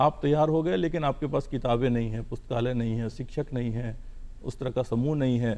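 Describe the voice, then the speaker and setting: Speaking at a moderate pace, a man with a plain, everyday voice and a medium pitch shows ordinary pitch variation. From Bihar, India. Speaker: civil servant. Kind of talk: TV interview.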